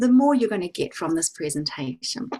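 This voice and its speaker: A woman's lively intonation rises above noticeable background noise. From New Zealand. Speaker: psychic reader and well-being educator. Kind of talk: online talk / workshop presentation. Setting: video call.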